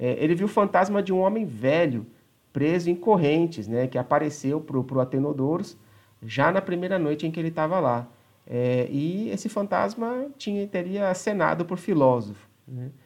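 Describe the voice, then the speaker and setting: A normal speaking voice comes through at a moderate pace with lively intonation. The background is quiet. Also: man, fairly high pitch for a man. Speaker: podcast host. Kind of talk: casual chat.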